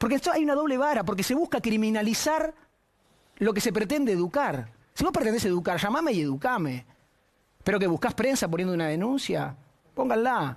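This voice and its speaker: A high-pitched man with a Rioplatense accent at a fairly quick pace, with very wide pitch swings, very even loudness, long, frequent pauses and a quiet background. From Argentina. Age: 40s. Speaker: TV panelist. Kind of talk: personal statement. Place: studio. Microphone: lapel.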